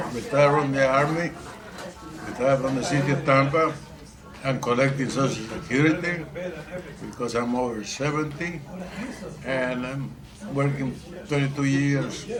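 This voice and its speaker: Over noticeable background noise and audible room echo, a man with a fairly high pitch and fairly even intonation speaks at a moderate pace with long, frequent pauses. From Puerto Rico. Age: 80s+. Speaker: war veteran. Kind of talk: casual chat. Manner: halting.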